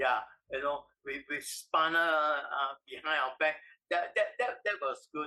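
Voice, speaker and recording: A man speaks with a Singaporean accent. His pace is fairly slow. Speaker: industrial engineer. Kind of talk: oral history interview answer.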